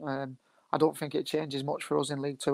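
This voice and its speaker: Dry and close with no echo, the recording captures a man with a fairly high pitch. He talks at a very fast pace. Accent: Lancashire. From northern England, Bolton. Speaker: professional footballer. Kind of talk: interview.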